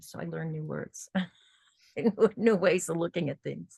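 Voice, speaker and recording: This woman's voice sits fairly low. It has a vocal fry to it. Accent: American. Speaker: workshop teacher. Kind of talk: online workshop class.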